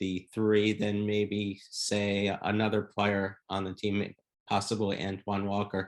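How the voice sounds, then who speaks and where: Against a quiet background, a normal speaking voice moves at a fairly slow pace. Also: man. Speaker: podcast host. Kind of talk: podcast interview question.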